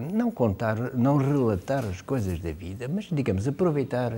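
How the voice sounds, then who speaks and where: Somewhat breathy, a man of medium pitch with a dark, mellow tone talks at a moderate pace and lively intonation. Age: 70s. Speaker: writer. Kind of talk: interview. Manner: hesitant, many filler sounds.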